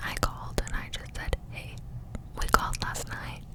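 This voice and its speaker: Through noticeable background noise, a woman whispers at a moderate pace. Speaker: ASMR creator and parent. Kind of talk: up-close whispered ramble about her life. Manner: whispered, up close.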